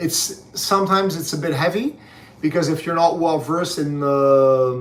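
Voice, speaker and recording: With audible room echo, a man speaks at a moderate pace in a fairly high pitch with ordinary pitch variation. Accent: Quebec. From Quebec, Canada. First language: French. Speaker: book reviewer's father. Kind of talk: casual chat. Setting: livestream. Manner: measured, with frequent fillers.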